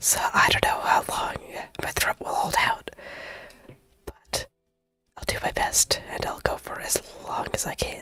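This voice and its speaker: Whispering at a fairly slow pace, the speaker leaves long, frequent pauses. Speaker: vtuber artist streamer. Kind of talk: casual chat while drawing.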